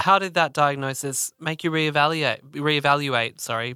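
Speaking with an Australian accent, a man uses a bright, sharp tone at a fairly slow pace. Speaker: podcast co-host. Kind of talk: interview.

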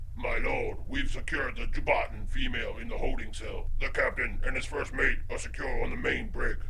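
A man talks in a put-on character voice at a moderate pace. Loud background noise runs under him. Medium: audio drama. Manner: brisk, threatening.

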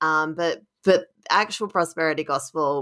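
The pace of speech is fairly slow. It comes in an Australian accent. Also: woman. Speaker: author and journalist. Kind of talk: interview about her book.

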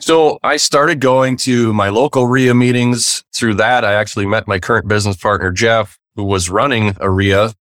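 A man speaks in an ordinary speaking voice with an American accent, at medium pitch with ordinary pitch variation and a moderate pace. There are hardly any pauses, and the very clean recording has a dry, close sound with no echo over a silent background. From Wisconsin, US Midwest. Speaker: real estate investor. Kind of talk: interview.

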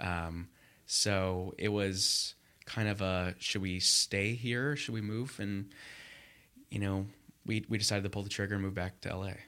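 In a very clean recording with a silent background, a man with an American accent speaks slowly-ish and with long, frequent pauses, his fairly low voice bright and sharp in tone and his intonation fairly even. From US West Coast, Los Angeles area. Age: 20s. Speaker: MBA student. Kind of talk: interview. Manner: hesitant, many fillers.

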